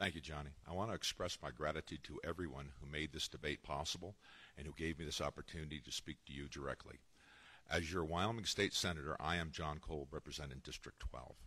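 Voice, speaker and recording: A man with a very deep, low pitch talks at a very fast pace, his bright, sharp tone carrying vocal fry. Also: ordinary pitch variation. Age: 60s. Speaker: state senator. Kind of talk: debate opening statement. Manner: formal.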